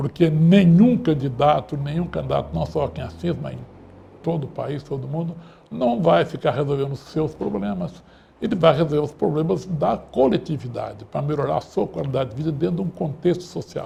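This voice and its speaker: A man with a dark, mellow tone and vocal fry, fairly high in pitch, lively in intonation and fairly quick in pace. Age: 70s. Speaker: radio talk show host. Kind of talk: closing remarks of political talk show. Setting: studio.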